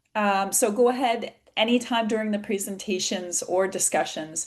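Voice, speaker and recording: With an American accent, a woman uses a plain, everyday voice at a fairly slow pace, her fairly high pitch showing ordinary pitch variation. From USA. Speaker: patient advocacy organization president, webinar moderator. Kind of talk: webinar moderation. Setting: video call.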